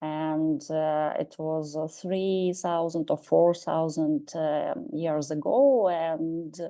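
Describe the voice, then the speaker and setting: A woman with a Russian accent speaks very slowly in a fairly low, dark, mellow voice, her intonation fairly even and her pauses hardly there, against a quiet background. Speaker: professor. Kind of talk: lecture. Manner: halting.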